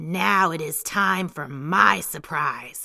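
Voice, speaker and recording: In a growling, put-on character voice, a woman speaks very slowly at a very deep, low pitch. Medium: read story. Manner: gentle, kind.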